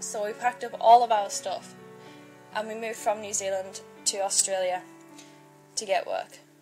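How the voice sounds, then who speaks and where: Over music in the background, a woman with an English accent talks at a moderate pace and a medium pitch. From Northern England. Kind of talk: personal life-story narration. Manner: shy, monotone.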